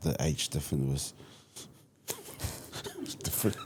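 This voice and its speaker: In a dark, mellow tone, a man is talking. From Samoa, moved to New Zealand at six. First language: Samoan. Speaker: youth mentor and community leader. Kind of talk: interview conversation. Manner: halting, with repetitions.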